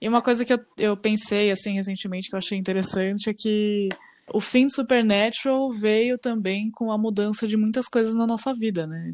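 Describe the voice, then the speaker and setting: A woman talks in a normal speaking voice at a moderate pace. Her pitch is fairly high, with fairly even intonation. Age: 20s. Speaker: podcast co-host. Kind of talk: casual chat.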